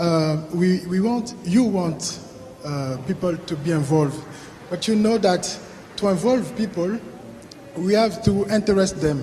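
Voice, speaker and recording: A high-pitched man speaks at a fairly slow pace with long, frequent pauses. There is noticeable background noise. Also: ordinary pitch variation. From Africa. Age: young. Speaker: audience member asking a question. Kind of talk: Q&A question from the floor. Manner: halting, many repetitions and hesitations.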